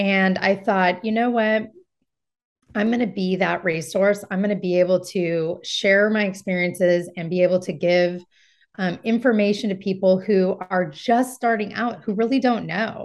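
Speaking with a Californian accent, a woman uses a medium pitch. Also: moderate pace. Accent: Californian American. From US West Coast, Marin County, California. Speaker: real estate agent. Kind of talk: interview.

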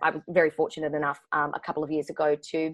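Someone with an Australian accent talks at a fairly quick pace. The background is quiet. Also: woman. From Queensland, Australia (Brisbane). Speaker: actor and script writer. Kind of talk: casual interview chat. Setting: remote call.

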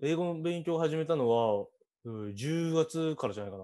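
A man's fairly high, dark, mellow voice at a moderate pace with very wide pitch swings. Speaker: podcast host, university student. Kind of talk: casual interview chat.

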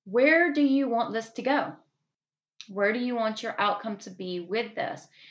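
A woman speaks with a Southern US accent. Her tone is warm and upbeat, and her intonation is lively. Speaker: podcast host. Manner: warm, upbeat, encouraging.

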